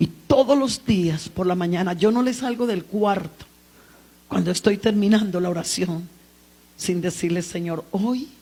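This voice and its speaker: Here a woman talks at a moderate pace. Her pitch is medium, with ordinary variation. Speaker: preacher. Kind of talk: sermon. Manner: loud.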